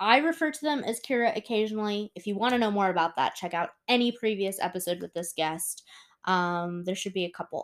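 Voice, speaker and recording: With an American accent and an unremarkable speaking voice, a woman of medium pitch talks at a fairly quick pace with lively intonation, recorded very cleanly against a silent background. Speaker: podcast host. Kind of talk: casual interview chat.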